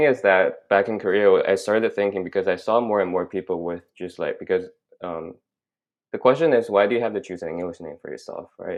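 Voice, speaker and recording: A man speaks with a Chinese accent. His loudness swings widely. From China, moved to Canada at 16. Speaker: graduate student. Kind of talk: casual interview chat. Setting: podcast recording. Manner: halting, many fillers.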